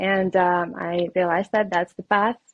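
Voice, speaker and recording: The speaker has a Russian accent and a monotone, flat intonation. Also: woman. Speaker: reiki healer and life coach. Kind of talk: podcast interview. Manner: hesitant, many fillers.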